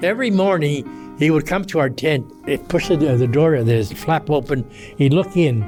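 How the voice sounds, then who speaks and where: The voice moves at a moderate pace with lively intonation and very even loudness. Music plays in the background. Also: man, fairly high pitch for a man. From Los Angeles. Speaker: war veteran. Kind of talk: interview answer.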